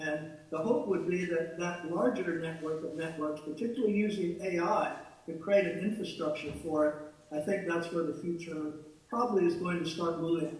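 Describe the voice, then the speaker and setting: A loud man with a high voice talks at a moderate pace, with audible room echo and noticeable background noise. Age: 70s. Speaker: speaker at a conference plenary. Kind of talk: plenary Q&A over video. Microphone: far from the microphone.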